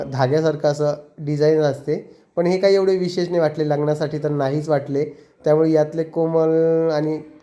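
Monotone and flat, a man speaks at a fairly high pitch with a dark, mellow tone. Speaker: family vlogger. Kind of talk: vlog narration.

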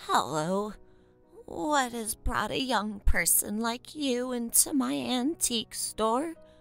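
A woman uses a put-on character voice at a fairly high pitch with very wide pitch swings and a fairly slow pace. Faint music plays in the background. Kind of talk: roleplay character dialogue. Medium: solo performance. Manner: warm, gentle. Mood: kindly, curious.

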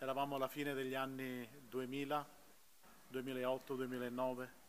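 At a moderate pace, a man with a Sicilian accent speaks in a fairly high pitch over light background noise. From Sicily, moved to Veneto as a child; Sicily, Italy. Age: 40s. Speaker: church member giving testimony. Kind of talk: testimony. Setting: outdoor public square concert with audience. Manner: halting. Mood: earnest, emotional. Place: stage. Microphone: podium.

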